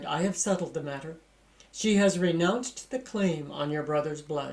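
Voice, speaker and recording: At a moderate pace, the speaker performs a put-on character voice at a middle pitch. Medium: read story. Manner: low, grave, authoritative.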